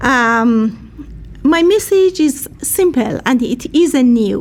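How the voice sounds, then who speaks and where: A woman's high voice with a Persian accent, very slow and full of very wide pitch swings, over noticeable background noise. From Iran. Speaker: peace activist and social worker. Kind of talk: speech at a rally. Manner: halting.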